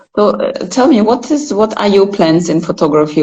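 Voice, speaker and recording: This woman speaks. She has a Russian accent. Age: 40s. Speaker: photographer. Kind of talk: casual chat. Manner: halting.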